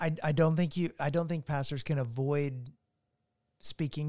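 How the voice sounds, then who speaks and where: A man with an ordinary speaking voice and an American accent talks at a moderate pace with fairly even intonation, the sound dry and close with no echo. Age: 40s. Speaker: author and church resources leader. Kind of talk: casual chat.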